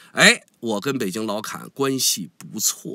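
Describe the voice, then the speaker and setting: A man's bright, sharp tone at a very slow pace, captured in a very clean recording with a silent background. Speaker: online commentator. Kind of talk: casual monologue commentary. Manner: good-humored, smiling.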